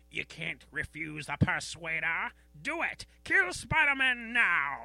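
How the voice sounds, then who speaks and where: Music plays in the background. The put-on character voice sits at a middle pitch. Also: fairly slow pace. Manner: menacing, commanding.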